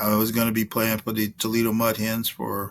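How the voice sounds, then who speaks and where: A man speaking at a moderate pace. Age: 70s. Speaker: semi-pro football coach giving a motivational talk. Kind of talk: motivational speech.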